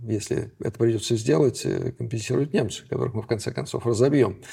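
At a fairly quick pace, a man with a dark, mellow tone speaks at medium pitch with vocal fry and ordinary pitch variation. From Leningrad, Russia. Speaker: historian, professor. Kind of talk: interview.

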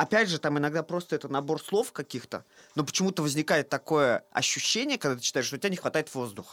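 A man with a plain, everyday voice speaks at a fairly high pitch with lively intonation. The sound is dry and close, with no echo. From Russia, Saint Petersburg. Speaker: theatre director. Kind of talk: casual chat.

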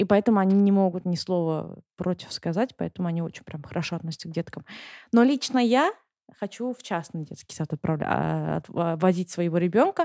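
This woman's voice has a dark, mellow tone and ordinary pitch variation at a fairly quick pace. The sound is dry and close with no echo, on a very clean recording with a silent background. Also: fairly low pitch for a woman. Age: 20s. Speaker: stay-at-home mother living abroad. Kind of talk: casual interview chat.

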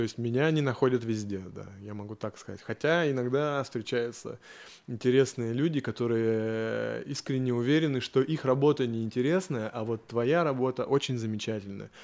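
Big swings in loudness mark this man's unremarkable speaking voice, which has medium pitch, ordinary pitch variation and a moderate pace on a very clean recording with a silent background. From Yaroslavl region, Russia. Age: 30s. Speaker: tattoo artist. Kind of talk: casual chat. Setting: tattoo studio.

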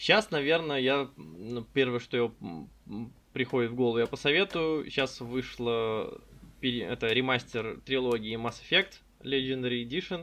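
The voice has a bright, sharp tone and ordinary pitch variation. It moves at a fairly slow pace. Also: man, medium pitch for a man. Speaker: insurance modelling consultant. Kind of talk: casual interview chat.

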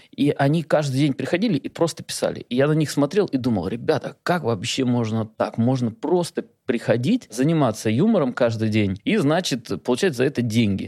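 A man's dark, mellow tone at a moderate pace, with very even loudness and a dry, close sound free of echo. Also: medium pitch for a man, lively intonation. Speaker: film director. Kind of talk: casual interview chat.

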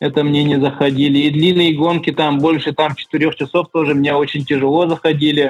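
Music plays in the background as a man talks at a fairly quick pace. His fairly high voice stays flat and monotone. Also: very even loudness. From Yakutia, Russia (rural village). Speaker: skyrunner. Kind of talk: interview.

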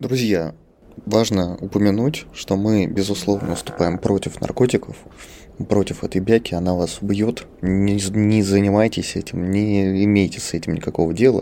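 A man with a dark, mellow tone and fairly low pitch talks at a fairly slow pace. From Moscow, Russia. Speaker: podcast host, transport specialist. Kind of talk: casual chat. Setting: studio.

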